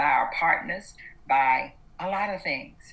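Her tone is bright and sharp, with ordinary pitch variation. This woman speaks fairly slowly with a Southern US accent. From US South, Atlanta, Georgia. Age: 60s. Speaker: activist. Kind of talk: interview.

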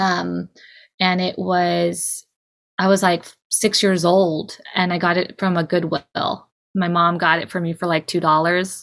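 A woman with a West Coast accent speaks at a fairly low pitch with monotone, flat intonation in a very clean recording with a silent background. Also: fairly slow pace. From California, Bay Area. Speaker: cartoonist, musician and poet. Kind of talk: interview.

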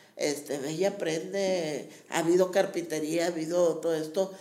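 With audible room echo, a woman speaks at a fairly slow pace with fairly even intonation. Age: old. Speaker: community center teacher and promoter. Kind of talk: interview.

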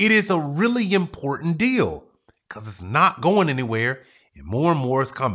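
An energetic man with very wide pitch swings and big swings in loudness, on a very clean recording with a silent background. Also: fairly high pitch for a man, moderate pace. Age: 40s. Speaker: podcast host. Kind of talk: motivational solo podcast monologue.

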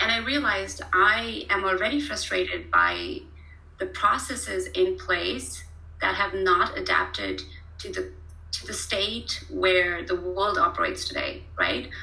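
Audible room echo surrounds a woman's voice. She speaks at a fairly slow pace. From India (Pune). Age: 30s. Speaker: startup founder. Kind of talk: casual interview. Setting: video call.

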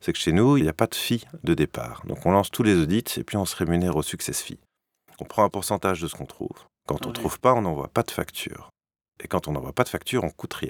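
A man's very deep, low voice with vocal fry, very wide pitch swings and a very fast pace, dry and close with no echo, on a very clean recording with a silent background. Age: 30s. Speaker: entrepreneur, former HR director. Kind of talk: interview.

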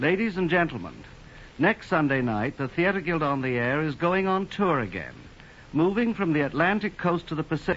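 A man speaks at a moderate pace in a plain, everyday voice. His pitch is fairly high and his intonation lively. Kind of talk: polished, formal radio introduction and next-week promo. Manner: smooth, measured, formal, with light wit.

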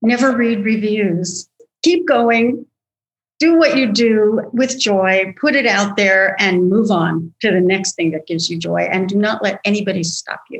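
Somewhat breathy, a woman speaks at a fairly slow pace in a medium pitch with lively intonation. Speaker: musical theater writer. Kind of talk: casual interview.

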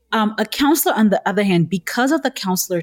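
A woman speaks at a moderate pace in a somewhat breathy voice. The recording is very clean and dry, close-miked with no echo and a silent background. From Nigeria. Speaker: career counselor. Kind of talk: interview.

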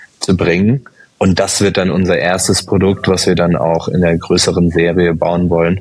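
A very deep, low male voice in a monotone, flat intonation at a moderate pace, with very even loudness and noticeable background noise. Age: 30s. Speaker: startup founder and engineer. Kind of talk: interview.

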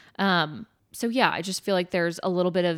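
With an American accent and a normal speaking voice, a woman talks at a moderate pace in a fairly low pitch, the sound dry and close with no echo. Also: very clean recording, silent background. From Nebraska. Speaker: dietitian, podcast co-host. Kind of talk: casual chat.

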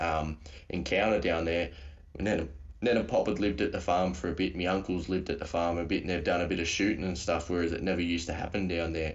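An Australian accent from a man with a very deep, low pitch and vocal fry, at a fairly quick pace with audible room echo. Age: 30s. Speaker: paranormal YouTuber. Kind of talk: casual chat. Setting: remote call.

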